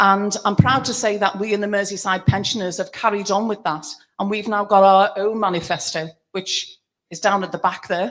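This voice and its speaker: A woman of medium pitch speaks with a Liverpool accent. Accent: Liverpool (Scouse). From Liverpool, England. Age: 60s. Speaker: pensioners' campaigner and political activist. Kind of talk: rally speech.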